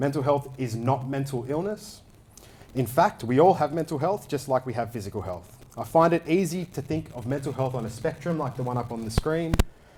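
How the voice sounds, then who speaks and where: Speaking with an Australian accent, a man talks at a fairly quick pace. His voice is fairly high, with ordinary pitch variation. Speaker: crypto project lead. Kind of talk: conference talk. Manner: fast.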